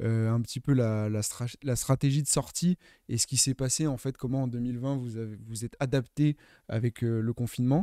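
A man speaks with a dark, mellow tone. His intonation stays fairly even. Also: quiet background, dry sound with no echo. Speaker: web show host. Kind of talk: casual interview chat. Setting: studio, livestream. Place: studio. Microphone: studio mic.

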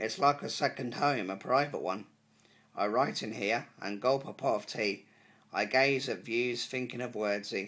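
Speaking at a fairly slow pace, a man sounds upbeat, his tone bright and sharp. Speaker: poet and YouTube creator. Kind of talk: poetry reading, introduced casually then read aloud. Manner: upbeat, friendly, earnest. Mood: earnest, pleased. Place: home room. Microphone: phone near.

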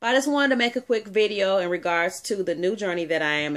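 Against a quiet background, a woman with a fairly low pitch talks at a very fast pace with lively intonation. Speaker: vlogger and home-based business owner; vlogger sharing career change. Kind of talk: casual vlog; casual vlog chat. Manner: hesitant with filler words. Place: home room. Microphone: phone near.

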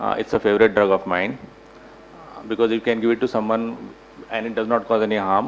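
A man talks at a very fast pace, yet takes long, frequent pauses. His intonation is monotone and flat over light background noise. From India, rural Gujarat. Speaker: paediatrician; panelist. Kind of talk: panel discussion. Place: meeting room. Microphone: podium.

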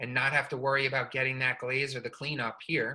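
A man's bright, sharp tone against a quiet background. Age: 40s. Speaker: studio potter. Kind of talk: artist talk and demo. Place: workshop. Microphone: video call.

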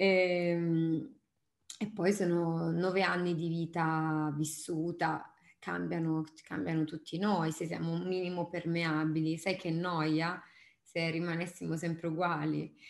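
Over a quiet background with audible room echo, a woman speaks very slowly at a fairly low pitch in a monotone, flat intonation. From Apulia, Italy (Bisceglie); Apulia, Italy. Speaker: singer-songwriter; interviewee. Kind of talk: interview. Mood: relaxed, thoughtful. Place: home room. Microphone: webcam.

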